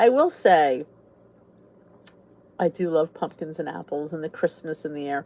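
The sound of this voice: Speaking at a fairly slow pace, a woman with a low voice and a slightly mellow tone keeps her intonation lively.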